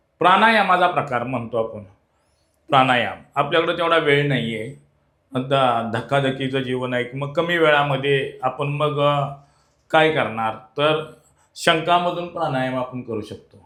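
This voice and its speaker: This man speaks at a fairly high pitch with ordinary pitch variation, and room echo is audible. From Maharashtra, Sangli district. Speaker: traditional tutari player and folk art trainer. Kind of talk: interview.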